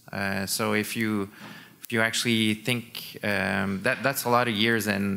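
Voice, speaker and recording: The voice has a bright, sharp tone and fairly even intonation. It moves at a fairly slow pace. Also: man. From Quebec, Montreal. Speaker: sport scientist. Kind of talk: conference talk. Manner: hesitant, many fillers.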